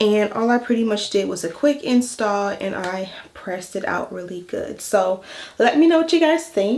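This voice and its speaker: Noticeable background noise surrounds a woman speaking at a fairly high pitch. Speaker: hair and wig vlogger. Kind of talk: tutorial. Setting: home voice-over. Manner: casual, chatty; stuttering.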